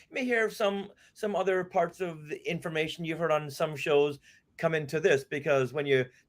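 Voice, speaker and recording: Lively intonation marks this American accent, heard on a very clean recording with a silent background. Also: man. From US Northeast, Boston. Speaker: podcast host and author. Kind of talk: casual interview chat. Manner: fast.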